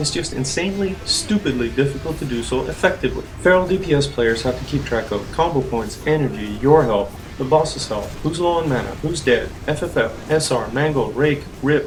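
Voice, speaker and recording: With a non-native accent, a man talks at a fairly quick pace in a fairly high pitch, his pitch varying in an ordinary way over noticeable background noise. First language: not English. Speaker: gamer, guide maker. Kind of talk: game tutorial voiceover.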